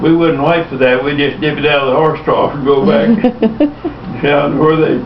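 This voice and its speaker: In a Texan accent, the speaker talks at a moderate pace with noticeable background noise behind them. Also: man. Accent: Texan Southern. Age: old. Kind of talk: family storytelling.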